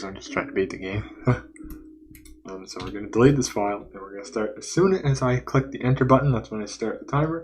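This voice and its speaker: At a very fast pace and over noticeable background noise, a man speaks at a medium pitch with lively intonation and big swings in loudness. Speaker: game developer and streamer. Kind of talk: live stream gameplay commentary. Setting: live stream.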